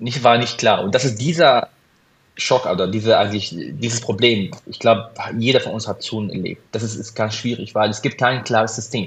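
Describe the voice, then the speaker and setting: At a moderate pace and medium pitch, a man with an Arabic accent keeps his intonation fairly even. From Syria. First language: Arabic (speaking German). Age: 30s. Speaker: cardiologist. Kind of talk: interview. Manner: halting.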